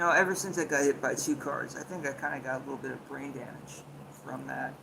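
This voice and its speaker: A man at a very fast pace, with big swings in loudness, audible room echo and noticeable background noise. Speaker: livestreamer. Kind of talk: casual livestream chat. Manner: halting.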